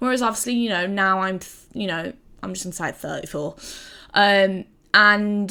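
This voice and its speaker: A loud woman's voice at medium pitch with an English accent, a bright, sharp tone, and fairly even intonation. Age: 30s. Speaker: gaming video creator. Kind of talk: personal testimony to camera. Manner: halting, with many fillers.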